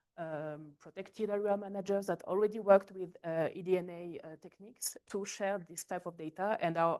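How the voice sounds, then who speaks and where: Speaking at a moderate pace, a woman uses a fairly low pitch with fairly even intonation. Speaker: scientist. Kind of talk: conference talk. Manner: soft-spoken; halting.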